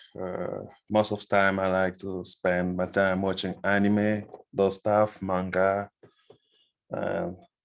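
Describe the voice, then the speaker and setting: A man with a French accent speaks very slowly at a fairly low pitch. His intonation is flat and monotone, and his pauses are long and frequent. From DR Congo. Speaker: bootcamp student. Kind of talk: self-introduction in online class.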